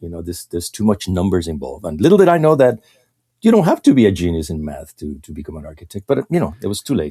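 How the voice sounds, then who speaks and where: The speaker talks very fast with a Mexican accent. The tone is dark and mellow, and the sound is dry and close with no echo. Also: man. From Mexico. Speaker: illustrator. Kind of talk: casual interview chat. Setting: podcast recording. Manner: halting, repeats words.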